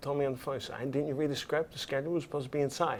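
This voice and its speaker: A man talks with a New York accent and fairly even intonation. His pitch is fairly high. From Brooklyn, New York. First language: Italian. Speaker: cinematographer. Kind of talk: interview.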